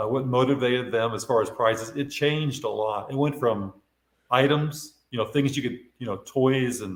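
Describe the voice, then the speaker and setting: An unremarkable speaking voice, a man's, keeps a medium pitch with ordinary pitch variation at a moderate pace. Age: 60s. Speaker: retired sales executive and artist. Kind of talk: casual interview.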